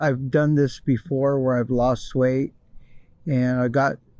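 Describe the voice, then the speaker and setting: A man's dark, mellow tone at medium pitch, delivered at a fairly slow pace. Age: 60s. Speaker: interviewee. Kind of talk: interview. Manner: casual, with hesitations.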